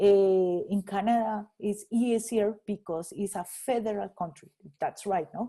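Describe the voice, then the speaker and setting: With a Spanish accent, a woman speaks in a dark, mellow tone. Her pitch is medium and her intonation fairly even. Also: fairly slow pace. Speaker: economist and rural development researcher. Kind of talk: guest talk answering audience questions. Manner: halting, many repetitions.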